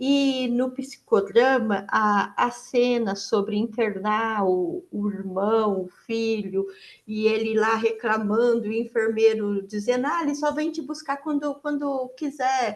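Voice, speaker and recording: This woman talks at a very slow pace and hardly pauses at all. Her pitch sits fairly high, with ordinary variation. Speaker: participant in online psychodrama session. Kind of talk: testimony. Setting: video call. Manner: soft-spoken; halting.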